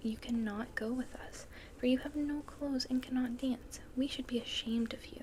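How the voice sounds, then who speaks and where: A soft-spoken woman talks in a calm tone at a moderate pace, high in pitch with monotone, flat intonation. Noticeable background noise runs underneath. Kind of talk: soft-spoken ASMR story reading. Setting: fire crackling sounds in the background. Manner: soft-spoken, calm.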